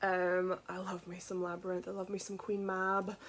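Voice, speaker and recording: Here a woman speaks at a moderate pace in a Scottish accent. Her pitch is medium. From Scotland, village outside Edinburgh. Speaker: children's book author. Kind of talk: casual vlog update.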